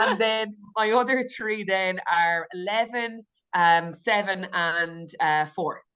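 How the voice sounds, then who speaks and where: Speaking at a very slow pace in a rural Irish accent, a woman uses a medium pitch, ordinary pitch variation, and a bright, sharp tone. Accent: rural Irish, very country. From west of Ireland, Galway. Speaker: nurse and intuitive eating coach. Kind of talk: podcast interview.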